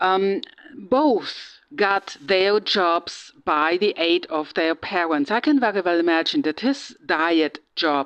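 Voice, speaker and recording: A woman with a German accent at medium pitch, very slow, over a quiet background. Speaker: true crime vlogger. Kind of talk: casual monologue. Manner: halting, many fillers.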